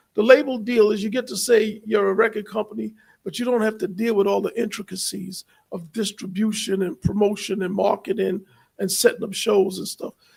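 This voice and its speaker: A man with a New York accent talks at a fairly quick pace. His pitch is high and his intonation fairly even. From New York City, Queens. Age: 60s. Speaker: content creator and entrepreneur. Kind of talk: livestream interview conversation.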